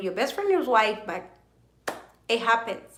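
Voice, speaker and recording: With audible room echo, a woman at a fairly high pitch speaks in an animated tone at a moderate pace, her pitch swinging very widely. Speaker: YouTuber live streaming to viewers. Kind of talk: casual live-stream chat. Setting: live video stream at midnight. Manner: animated, chatty.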